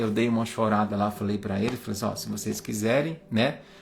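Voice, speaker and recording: Music plays in the background as a man speaks in a warm tone. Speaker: spiritist study group leader. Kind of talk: religious study livestream. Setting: livestream. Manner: slow; warm, informal.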